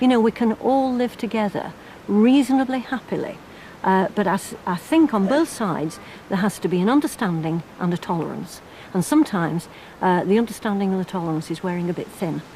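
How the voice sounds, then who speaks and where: Lively intonation marks a woman's medium-pitched voice as she talks at a fairly quick pace. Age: 60s. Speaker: member of parliament. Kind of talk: interview. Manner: halting.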